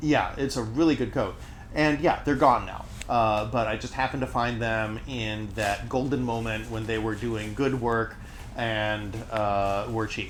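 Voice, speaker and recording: A man's medium-pitched voice, fairly even in intonation, carries through audible room echo and noticeable background noise. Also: fairly slow pace. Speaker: streamer's friend. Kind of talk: casual chat. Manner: loud, projected stage voice. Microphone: far from mic, in kitchen.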